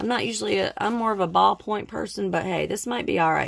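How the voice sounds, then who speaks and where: A woman at a fairly quick pace, with a slight Southern US accent. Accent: slight Southern twang. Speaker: budgeting vlogger. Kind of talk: casual vlog.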